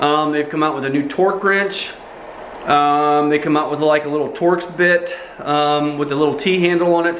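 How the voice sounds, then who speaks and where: Audible room echo and noticeable background noise surround the speaker. A man talks at a moderate pace. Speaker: tool reviewer, YouTuber. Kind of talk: casual product review. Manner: casual with many fillers.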